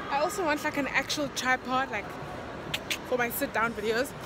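Amid noticeable background noise, a woman talks at a fairly quick pace with ordinary pitch variation. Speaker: vlogger. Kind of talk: casual vlog chat. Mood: cheerful, laughing. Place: shop. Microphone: phone near.

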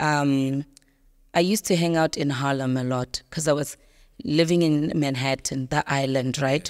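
Over a quiet background, a woman with a very deep, low pitch speaks at a moderate pace and with fairly even intonation. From South Africa. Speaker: actress. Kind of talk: interview. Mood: reflective, personal storytelling. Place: studio. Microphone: studio mic.

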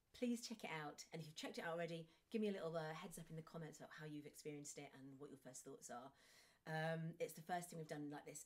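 A woman with a fairly low pitch speaks at a very fast pace in an English accent. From England. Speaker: theatre performer and show host. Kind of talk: casual chat and reading aloud. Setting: online video stream. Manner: hesitant, many fillers. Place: home room.

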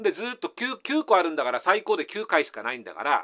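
The background is quiet as a man talks in a high pitch. His tone is bright and sharp, with very wide swings in pitch. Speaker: math tutor. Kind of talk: casual math lesson explanation. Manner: casual, folksy. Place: home room. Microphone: camera far.

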